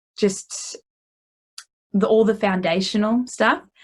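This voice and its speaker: Fairly high in pitch, a woman speaks with an Australian accent and fairly even intonation. The background is quiet. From Australia, Geelong, Victoria. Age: 20s. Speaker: singer-songwriter and music therapist. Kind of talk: interview. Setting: video call.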